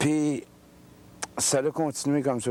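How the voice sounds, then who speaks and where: The man speaks with a dark, mellow tone. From Quebec City, Quebec. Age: 30s. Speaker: ex-convict testifying. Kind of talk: testimony. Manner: halting.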